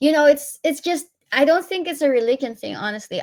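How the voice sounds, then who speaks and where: Lively intonation marks this woman's voice, delivered with a Filipino accent. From Philippines. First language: Tagalog. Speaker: interviewee, professional living abroad. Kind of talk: interview.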